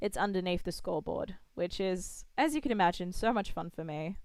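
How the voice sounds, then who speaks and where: In a very clean recording with a silent background, a woman with an Australian accent speaks at a medium pitch. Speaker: game developer streamer. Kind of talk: live coding stream. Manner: casual, thinking aloud.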